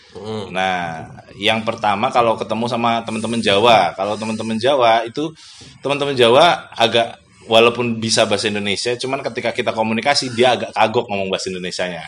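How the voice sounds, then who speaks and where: Ordinary variation marks this man's pitch. He speaks very fast. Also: medium pitch for a man. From Sumatra, Bengkulu. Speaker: migrant worker. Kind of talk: casual chat.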